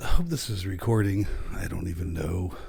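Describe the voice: Putting on a character voice, a man speaks fairly quickly in a very deep, low pitch that is gravelly and raspy.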